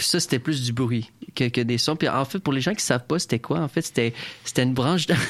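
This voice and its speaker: This very clean recording has a silent background. On it, a man talks with ordinary pitch variation. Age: 20s. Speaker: community radio host. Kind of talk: casual radio interview.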